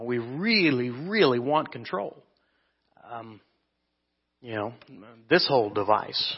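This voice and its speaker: In a Midwestern US accent, a man speaks very slowly at medium pitch, with lively intonation, big swings in loudness, and long, frequent pauses. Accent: US Midwest. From Kansas. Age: 30s. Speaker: preacher. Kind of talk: sermon.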